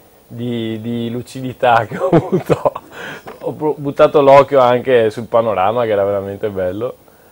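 A man talks at a medium pitch and a fairly slow pace. Noticeable background noise runs under his voice. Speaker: triathlete. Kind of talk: casual TV talk show. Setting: TV studio.

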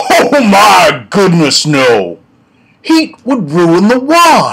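In a put-on character voice at middle pitch, the speaker moves very slowly through very wide pitch swings. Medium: solo performance. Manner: courteous, proud.

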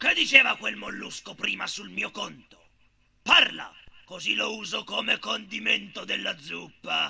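Putting on a character voice, a man speaks at a moderate pace. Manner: bossy, menacing.

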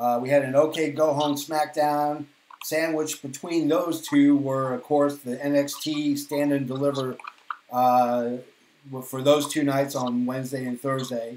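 A man's fairly high voice with a Boston accent, flat and monotone, at a fairly slow pace, with light background noise and audible room echo. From Boston, Massachusetts, US; Massachusetts. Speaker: podcast host. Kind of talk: casual chat. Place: home room.

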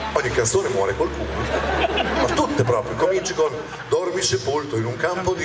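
Over noticeable background noise, a man speaks with a fairly high pitch. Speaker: comedian. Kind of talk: comedy stand-up routine. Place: stage. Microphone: handheld.

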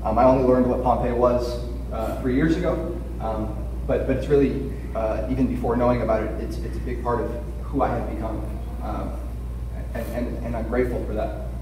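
In an American accent, a man speaks at a moderate pace with a very deep, low pitch and monotone, flat intonation, against audible room echo and noticeable background noise. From US West Coast (Los Angeles). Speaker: patient advocate speaker. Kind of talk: conference presentation. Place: hall. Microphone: camera far.

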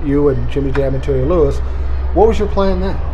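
Fairly quick male speech in an American accent over light background noise. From US Midwest, South Minneapolis. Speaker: interview show host. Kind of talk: casual interview. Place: cafe. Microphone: camera far.

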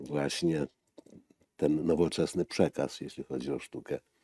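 Over a quiet background, a man with a very deep, low, dark and mellow voice speaks at a fairly slow pace with vocal fry, the sound dry with no echo. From eastern Poland, Lublin region; Poland. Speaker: graphic artist and linocut printmaker; interview guest. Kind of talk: casual interview. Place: studio.

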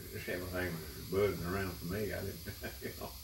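Over noticeable background noise, a man talks with an Appalachian accent. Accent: Appalachian Southern US. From East Tennessee (Unicoi County). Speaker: retired guitar player. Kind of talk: reminiscing conversation. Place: home room. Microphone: camera far.

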